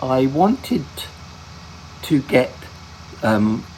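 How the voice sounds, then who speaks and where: Whispering, a man talks over noticeable background noise. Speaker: gaming video host. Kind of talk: gameplay commentary. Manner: halting, many fillers and restarts.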